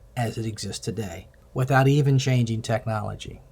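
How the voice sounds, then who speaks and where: Speaking at a fairly slow pace, a man with a medium-pitched, somewhat breathy voice is heard on a very clean recording with a silent background. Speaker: healthcare IT presenter. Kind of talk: recorded presentation. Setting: self-recorded video.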